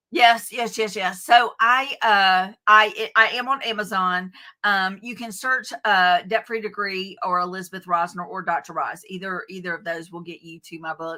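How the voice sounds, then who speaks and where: A woman with a Southern US accent speaks at a moderate pace and medium pitch, with hardly any pauses. Her tone is bright and sharp, her pitch varies in an ordinary way, and her loudness swings widely. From US South, Athens, Georgia. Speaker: author and education coach. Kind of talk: interview. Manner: halting, many fillers.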